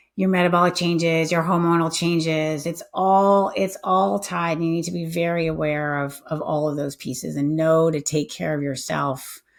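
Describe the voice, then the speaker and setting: A woman's fairly low-pitched, ordinary speaking voice at a moderate pace, with ordinary pitch variation, on a very clean recording with a silent background. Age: 50s. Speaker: health tech company founder. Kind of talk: interview conversation.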